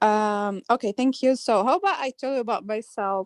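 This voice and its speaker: Dry and close with no echo, a woman's voice moves at a moderate pace with lively intonation. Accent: slight Arabic. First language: Arabic. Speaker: graphic designer. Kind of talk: casual chat. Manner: halting.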